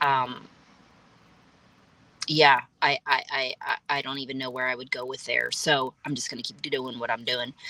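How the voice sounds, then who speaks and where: A woman speaks in a very deep, low pitch with a bright, sharp tone and monotone, flat intonation. Her moderate pace comes with long, frequent pauses, and the sound is dry and close with no echo. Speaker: personal growth vlogger. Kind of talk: casual talk to camera.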